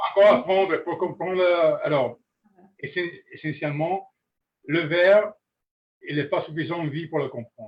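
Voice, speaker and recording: A man talks with an Italian accent and a high pitch. His pitch variation is ordinary, and his moderate pace includes long, frequent pauses. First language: Italian (speaking French). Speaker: master glassblower. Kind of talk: webinar discussion. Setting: live webinar. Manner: halting, searching for words.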